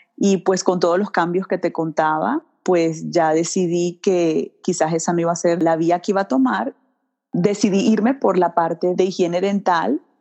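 A woman with a Venezuelan accent speaks at a fairly low pitch and a moderate pace. Her pitch varies in an ordinary way and her loudness stays very even. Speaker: dental hygienist. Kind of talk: interview. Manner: warm, enthusiastic.

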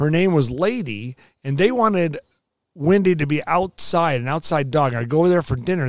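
In a very clean recording with a silent background, a man with a plain, everyday voice talks at a moderate pace with lively intonation. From US West Coast, Los Angeles. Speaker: meteorologist. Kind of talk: casual interview.

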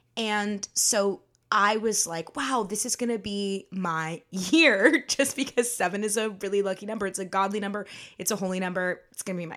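A woman speaks at a moderate pace in a medium pitch with ordinary pitch variation. The recording is very clean, with a silent background. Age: 20s. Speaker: podcast host and stage actress. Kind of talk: personal reflective monologue. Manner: casual, unscripted.

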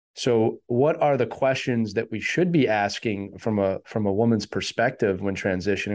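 A man with an unremarkable speaking voice talks at a moderate pace. His pitch is medium, with ordinary variation. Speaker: podcast host. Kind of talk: interview conversation.

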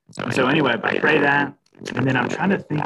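A man with an American accent talks at a moderate pace in a somewhat breathy voice. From Texas. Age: 30s. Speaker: church groups and missions leader, former missionary. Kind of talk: casual interview conversation.

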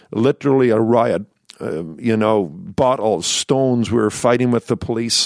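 At a moderate pace with ordinary pitch variation, a man with a Northern Irish accent speaks in a dry, close sound with no echo. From Northern Ireland, near Belfast. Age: 60s. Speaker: pastor. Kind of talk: interview. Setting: pastor's study at the church.

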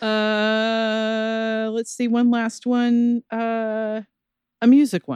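A woman's flat, monotone delivery at a very slow pace, with a dry, close sound and no echo. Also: fairly high pitch for a woman. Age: 50s. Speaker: podcast co-host. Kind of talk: casual chat.

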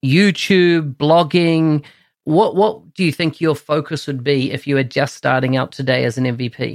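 With a New Zealand accent, a man speaks at a moderate pace and a fairly high pitch. The recording is very clean, with a silent background. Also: ordinary pitch variation. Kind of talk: interview.

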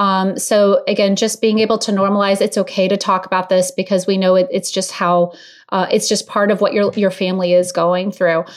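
A woman with an unremarkable speaking voice delivers her words at medium pitch, keeping a moderate pace and fairly even intonation. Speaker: clinical social worker. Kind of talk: expert interview.

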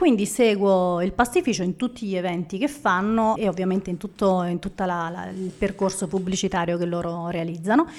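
In a normal speaking voice, a woman talks at a moderate pace and medium pitch, with ordinary pitch variation. She has hardly any pauses, and the recording is very clean with a silent background. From Naples, Italy. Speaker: food photographer. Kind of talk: live podcast interview. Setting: live audience at a café venue.

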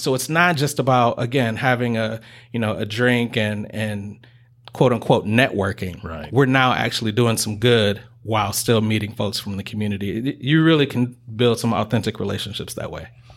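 At a moderate pace, a man with an unremarkable speaking voice talks in a medium pitch with ordinary pitch variation. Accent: American. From Detroit, Michigan. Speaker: chamber of commerce director. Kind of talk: interview. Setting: business center meeting space.

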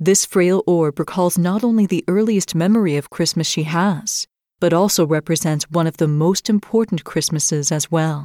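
A woman with a fairly low pitch speaks at a moderate pace in a warm, gentle, dark and mellow tone, with ordinary pitch variation and very even loudness. The recording is very clean with a silent background and a dry, close sound with no echo. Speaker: podcast host and storyteller. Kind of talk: literary audiobook reading of a fairy tale, scripted narration. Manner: warm, measured storyteller's pacing with gentle expressive inflection; formal, ornate diction read with storybook cadence.

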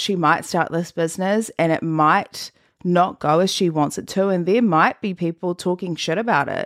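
On a very clean recording with a silent background, a woman speaks in a fairly low pitch with ordinary pitch variation. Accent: New Zealand. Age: 20s. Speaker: podcast host. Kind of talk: motivational monologue.

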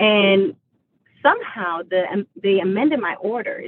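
A woman's normal speaking voice, medium in pitch, with lively intonation. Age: 40s. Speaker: military veteran and advocate for homeless veterans. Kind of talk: casual chat.

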